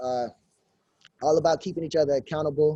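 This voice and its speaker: A man speaks in a dark, mellow tone, the sound dry and close with no echo. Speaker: fitness trainer. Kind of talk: info session over video call. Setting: video call. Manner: loud; energetic.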